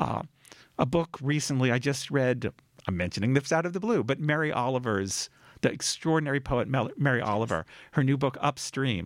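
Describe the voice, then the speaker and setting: A man speaks in a normal speaking voice at a medium pitch, moving at a fairly quick pace with lively intonation. The recording is very clean, with a silent background. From US Northeast, Cambridge, Massachusetts. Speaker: author. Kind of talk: radio interview. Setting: radio studio.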